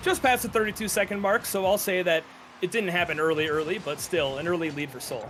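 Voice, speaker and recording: Over noticeable background noise, a man with a northern Minnesota accent speaks at a fairly quick pace. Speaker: esports caster. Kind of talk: live commentary. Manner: fast.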